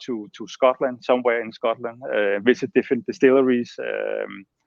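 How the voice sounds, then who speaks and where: A man is speaking. He has a Danish accent. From Denmark. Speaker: master distiller. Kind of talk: interview.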